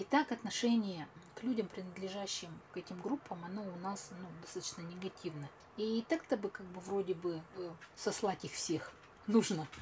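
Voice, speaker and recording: A woman with a somewhat breathy, medium-pitched voice speaks at a moderate pace with ordinary pitch variation, big swings in loudness and long, frequent pauses. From Russia, Tyumen. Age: 40s. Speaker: clinical psychologist. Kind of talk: interview.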